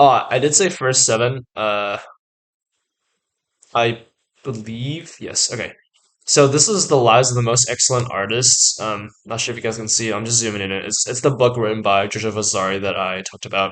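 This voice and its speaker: Medium pitch for a man, ordinary pitch variation, and a moderate pace from a male speaker. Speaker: art student YouTuber. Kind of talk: casual educational vlog. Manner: many filler words, hesitant.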